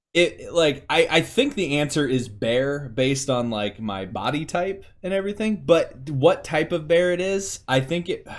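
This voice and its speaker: Loud and at a moderate pace, a man with a fairly high pitch speaks with hardly any pauses and very wide pitch swings on a very clean recording with a silent background. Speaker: podcast co-host. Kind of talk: casual chat. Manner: halting.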